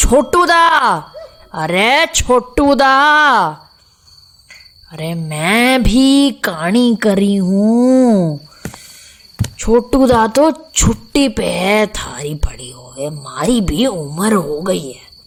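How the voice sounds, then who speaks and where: Using a put-on character voice, a woman speaks very slowly at a fairly high pitch, with very wide pitch swings, big swings in loudness and long, frequent pauses. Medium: audio drama. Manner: talkative, grumbling.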